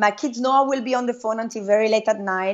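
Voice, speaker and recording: With an Italian accent, a woman speaks at a very fast pace in a fairly high pitch, her intonation fairly even. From Italy. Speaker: network marketing entrepreneur. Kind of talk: interview.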